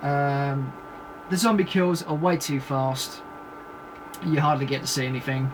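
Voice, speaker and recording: A fairly high-pitched man's voice with fairly even intonation, noticeable background noise and audible room echo. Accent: British. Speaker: film reviewer. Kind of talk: video review monologue. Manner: hesitant, many fillers.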